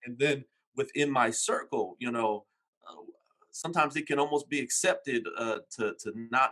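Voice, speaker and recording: A man talks at medium pitch and a moderate pace. He has a normal speaking voice. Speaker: podcast host. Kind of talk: interview.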